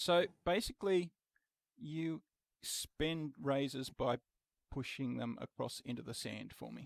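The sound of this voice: A man speaks at a slow pace with vocal fry and fairly even intonation. The sound is dry and close with no echo. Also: medium pitch for a man.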